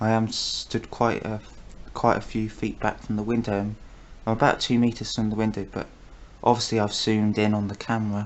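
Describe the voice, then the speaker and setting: A soft-spoken man, fairly low in pitch, at a fairly quick pace with monotone, flat intonation. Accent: British. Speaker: wildlife vlogger. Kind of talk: casual wildlife commentary to camera. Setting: at home filming through a window.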